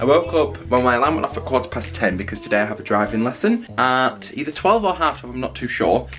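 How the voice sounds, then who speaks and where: Very fast speech from a man with a Mancunian accent, very wide pitch swings, hardly any pauses and light background noise. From Manchester, UK. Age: young. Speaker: student vlogger. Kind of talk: casual vlog talk to camera. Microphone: phone near.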